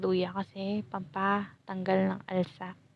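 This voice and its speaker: With a medium pitch, a woman talks in a flat, monotone way. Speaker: cooking vlogger. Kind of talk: casual cooking tutorial. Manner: stumbling over words.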